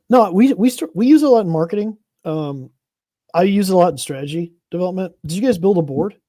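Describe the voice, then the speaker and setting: Mumbling at a very fast pace, a man with a high pitch, a dark, mellow tone and lively intonation is heard in a very clean recording with a silent background. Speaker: podcast host. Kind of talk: casual chat.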